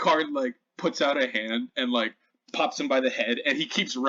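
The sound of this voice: Quiet surroundings and a reading voice that sounds unforced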